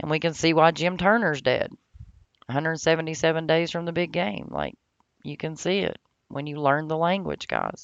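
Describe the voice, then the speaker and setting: Her very deep, low voice carries ordinary pitch variation as the woman speaks. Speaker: YouTuber teaching gematria. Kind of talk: casual vlog monologue. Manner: fast.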